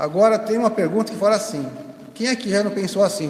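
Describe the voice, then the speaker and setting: Noticeable background noise and audible room echo around fairly quick speech. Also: man. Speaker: spiritist lecturer. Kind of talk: lecture. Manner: fast.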